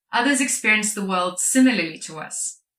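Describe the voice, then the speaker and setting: With a Lithuanian accent, a woman uses a bright, sharp tone at a fairly high pitch with lively intonation. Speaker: product marketer and speaker. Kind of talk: conference talk.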